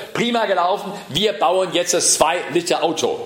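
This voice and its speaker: A man speaks in a high pitch, with noticeable background noise behind him. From southern Germany, Ravensburg (Swabia). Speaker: political scientist and transport expert. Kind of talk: lecture.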